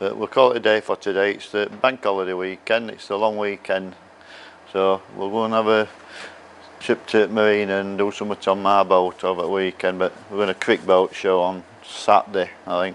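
Monotone, flat intonation with light background noise. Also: man, fairly low pitch for a man. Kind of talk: casual vlog chat. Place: workshop. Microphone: phone near.

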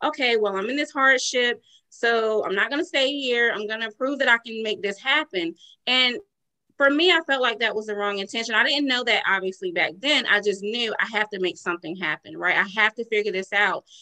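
A bright, sharp-toned woman with a Southern US accent, lively intonation and a fairly quick pace against a quiet background. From US South, rural North Carolina. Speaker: entrepreneur and life coach. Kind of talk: interview. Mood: earnest, reflective. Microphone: video call.

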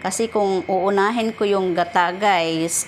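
With a Visayan accent, a woman talks at a fairly slow pace with fairly even intonation. Noticeable background noise is present. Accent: Visayan accent in Tagalog. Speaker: vlogger. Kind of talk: cooking tutorial. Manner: casual, with many fillers.

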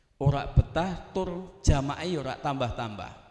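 A man is heard with audible room echo against a quiet background. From South Sumatra (Javanese transmigrant area). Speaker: Islamic preacher. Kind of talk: panel talk. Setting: hall with audience. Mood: cheerful, joking. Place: hall. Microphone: handheld.

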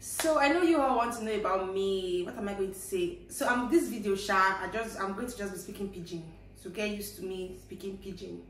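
A woman with a Nigerian accent talks at a fairly quick pace, with hardly any pauses and ordinary pitch variation. Audible room echo and light background noise are present. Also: big swings in loudness. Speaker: vlogger. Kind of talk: casual talk to camera. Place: home room. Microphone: camera far.

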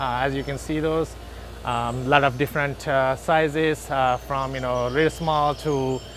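A man's fairly even intonation in a dry sound with no echo and light background noise. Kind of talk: store tour product explanation. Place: shop. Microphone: phone near.

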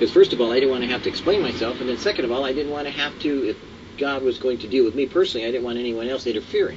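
Light noise sits in the background as a man talks. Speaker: devotional host. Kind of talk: sermon-like devotional commentary. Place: garden. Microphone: camera far.

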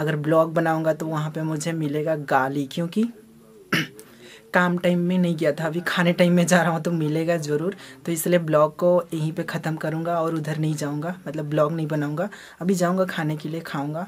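Over light background noise, a man talks at a fairly slow pace in a monotone, flat intonation. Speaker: vlogger. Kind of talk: casual vlog chat. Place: home room. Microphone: phone near.

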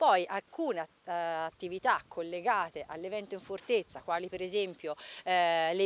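This is a woman's voice. The sound is dry, with no echo. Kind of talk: interview answer. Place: open country. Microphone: handheld.

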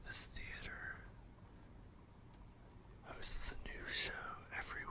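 The pace is very slow, and the speech is whispered. Background noise is noticeable. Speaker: ASMR roleplay tour guide. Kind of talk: ASMR roleplay carriage tour narration. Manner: soft, relaxing, whispered.

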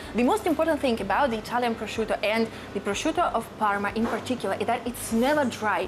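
A high-pitched woman's voice over noticeable background noise. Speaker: food vlogger. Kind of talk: casual vlog chat. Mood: enthusiastic, delighted. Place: shop. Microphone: lapel.

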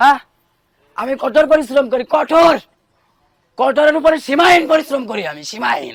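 Here a man speaks with an extremely high pitch and ordinary pitch variation. His loudness swings widely. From Bangladesh. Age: 20s. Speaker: returned migrant worker. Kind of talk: testimony. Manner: emotional, repetitive.

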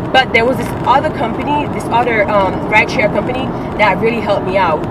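Loud background noise behind a woman talking at a middling speed. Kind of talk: casual vlog chat. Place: car. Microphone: phone near.

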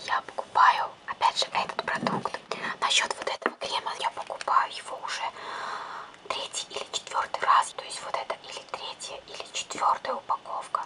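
Whispering at a moderate pace, a woman's voice rises and falls widely in loudness. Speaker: ASMR creator. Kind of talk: ASMR product review. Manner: whispered. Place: home room.

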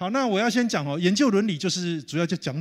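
Against a quiet background, a man talks at a fairly quick pace. His pitch swings very widely. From Taiwan. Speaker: professor. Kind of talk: lecture. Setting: conference hall with audience. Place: hall. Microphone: handheld.

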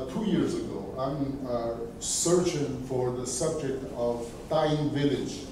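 A man talks at a very slow pace with ordinary pitch variation. Noticeable background noise and audible room echo fill the recording. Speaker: audience member. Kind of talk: academic discussion. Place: classroom. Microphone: camera far.

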